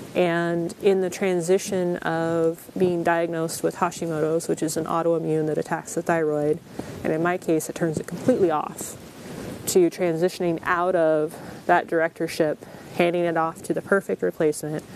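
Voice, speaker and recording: A woman speaks at a moderate pace in a monotone, flat intonation, with light background noise and a dry sound with no echo. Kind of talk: interview answer. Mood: reflective, earnest. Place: forest.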